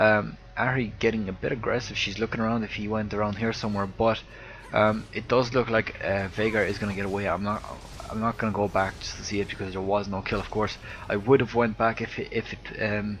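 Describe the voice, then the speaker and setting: A man with an Irish accent speaks at a fairly quick pace in a fairly low, monotone voice with flat intonation over noticeable background noise. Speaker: video game commentator. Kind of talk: casual chat; live commentary. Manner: hesitant, many fillers.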